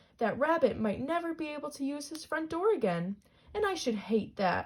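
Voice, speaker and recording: A woman puts on a character voice at a high pitch with very wide pitch swings. She speaks at a moderate pace. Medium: read story.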